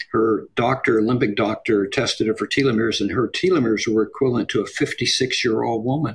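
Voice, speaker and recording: A man talks very fast with hardly any pauses, keeping his loudness very even. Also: medium pitch for a man, fairly even intonation. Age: 70s. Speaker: longevity researcher. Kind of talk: interview. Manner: halting.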